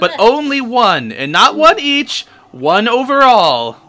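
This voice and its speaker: The put-on character voice sits at a fairly high pitch. Its delivery is fairly slow. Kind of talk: comic spooky ghost voice. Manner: theatrical, haughty, then petulant.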